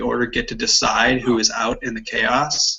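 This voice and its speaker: There is noticeable background noise behind a man speaking. His pitch is medium, with ordinary variation. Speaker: Bible study participant. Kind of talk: group Bible discussion. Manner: halting, hesitant.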